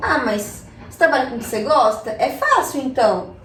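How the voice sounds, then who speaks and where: A high-pitched woman's voice with audible room echo and noticeable background noise. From Chile, raised in Brazil from age 6. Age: 20s. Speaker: artist and hip hop MC. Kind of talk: casual chat.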